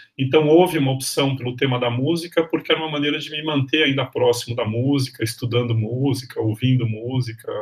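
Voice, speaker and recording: Against noticeable background noise, a man talks at a fairly quick pace. His pitch is medium and his intonation fairly even. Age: 50s. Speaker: history professor. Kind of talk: interview.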